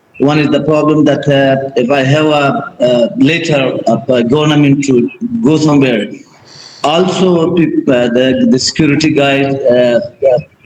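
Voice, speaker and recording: A man with an Afghan accent speaks fairly slowly at a fairly high pitch, with ordinary pitch variation and very even loudness. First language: Dari. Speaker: documentary filmmaker. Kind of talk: Q&A in online workshop. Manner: halting.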